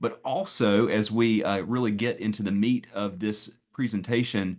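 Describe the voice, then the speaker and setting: Against a quiet background, a man with a Southern US accent talks at a fairly low pitch. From US Southeast, North Carolina. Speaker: pastor and speaker on AI and faith. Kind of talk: presentation. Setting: video call. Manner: halting, many fillers.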